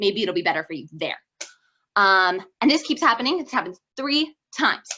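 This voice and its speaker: A woman's medium-pitched, bright and sharp voice, fairly quick in pace, with very wide pitch swings. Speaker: student giving a Torah talk. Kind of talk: informal Torah talk. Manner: fast; casual, many fillers.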